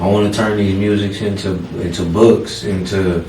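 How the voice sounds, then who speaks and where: A man's fairly low voice at a fairly slow pace, with audible room echo and noticeable background noise. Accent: American. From Oklahoma (from age six; early years in California). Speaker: rapper. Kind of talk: interview. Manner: halting.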